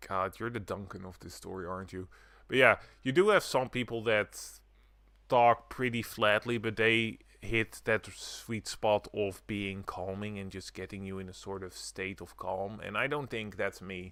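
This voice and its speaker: A man with a Dutch accent, fairly low in pitch, bright and sharp in tone, at a moderate pace with fairly even intonation and big swings in loudness, in a very clean recording with a silent background. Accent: Dutch accent, flat intonation. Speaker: streamer. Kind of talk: gameplay commentary, casual. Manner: flat, fairly monotone.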